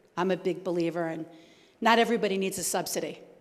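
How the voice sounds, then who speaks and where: Audible room echo surrounds a woman talking at a fairly quick pace. Her pitch varies in an ordinary way. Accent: New Jersey. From New Jersey. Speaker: homeless services administrator. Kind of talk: Q&A after a talk. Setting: church event with audience.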